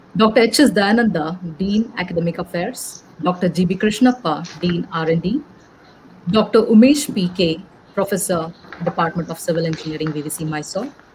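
A woman speaks at a fairly slow pace. Light background noise can be heard. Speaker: event host. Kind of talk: formal welcome speech. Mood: formal, polite. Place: home room.

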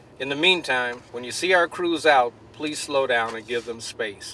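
Against light background noise, a man talks at a moderate pace with ordinary pitch variation in a dry sound with no echo. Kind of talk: public statement to camera. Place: street.

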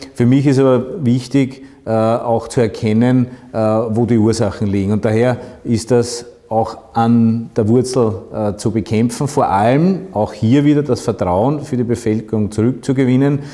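The delivery is fairly slow, with fairly even intonation and very even loudness. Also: man. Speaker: local mayor. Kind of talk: interview answer. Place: office.

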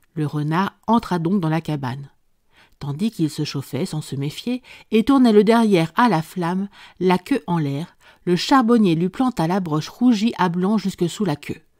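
Recorded very cleanly against a silent background, a woman speaks in an ordinary speaking voice, fairly low in pitch, at a fairly slow pace. Her intonation is lively, and the sound is dry and close with no echo. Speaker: audiobook narrator. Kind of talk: scripted narration of a folk tale, read aloud.

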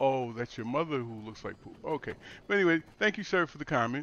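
Talking very fast, a man delivers his words with lively intonation. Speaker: gaming YouTuber. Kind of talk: casual gaming vlog with mock news segment. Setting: recording over in-game footage. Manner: talkative.

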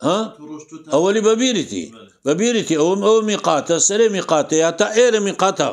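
This man's voice is high in pitch, with ordinary pitch variation, captured in a very clean recording against a silent background. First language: Kurdish (speaking Arabic). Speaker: Islamic religious teacher. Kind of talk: lecture.

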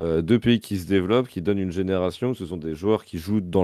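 A man with a very deep, low voice and a dark, mellow tone uses ordinary pitch variation, recorded dry with no echo against a quiet background. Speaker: co-commentator. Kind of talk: live commentary and casual chat about a match. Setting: live stream. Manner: casual, relaxed.

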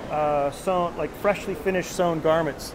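A man talks at a fairly slow pace in a high voice with ordinary pitch variation. Noticeable background noise runs under his speech. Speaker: denim designer touring a factory. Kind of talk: casual vlog tour commentary. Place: factory. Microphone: phone near.

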